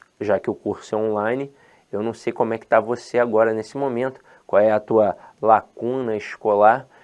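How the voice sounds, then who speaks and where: Against a quiet background, a man talks at a moderate pace and medium pitch. He has a strong Rio de Janeiro accent. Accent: strong Rio de Janeiro (carioca). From Rio de Janeiro, Brazil (born in Ceará, moved at ten months). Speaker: teacher. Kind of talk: lecture. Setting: online course video. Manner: animated, informal.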